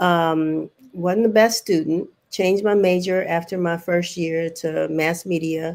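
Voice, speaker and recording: Speaking at a fairly slow pace with fairly even intonation, a woman with an American accent has an ordinary speaking voice pitched fairly low. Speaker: newspaper publisher. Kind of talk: panel interview.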